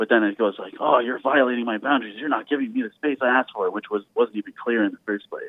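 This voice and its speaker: A man with a Canadian accent at a fairly quick pace. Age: 30s. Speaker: caller. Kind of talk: phone-in call. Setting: phone call. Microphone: muffled and quiet at one point.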